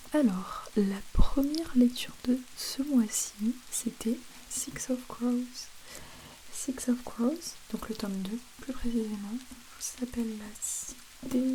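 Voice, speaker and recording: Soft-spoken and relaxed, a woman talks in a high pitch with fairly even intonation over noticeable background noise. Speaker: ASMR creator. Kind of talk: soft-spoken ASMR talk to camera. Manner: soft-spoken, relaxed, chatty.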